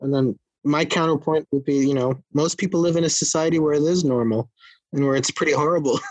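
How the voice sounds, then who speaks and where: A man at a very fast pace, with very even loudness, fairly even intonation and a dry, close sound with no echo. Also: fairly high pitch for a man. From Netherlands, Russian parents. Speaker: magazine editor. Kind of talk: casual chat.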